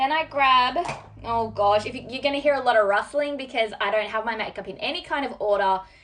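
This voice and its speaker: An animated woman with an Australian accent talks at a high pitch and a fairly quick pace with ordinary pitch variation. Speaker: beauty vlogger. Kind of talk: makeup tutorial.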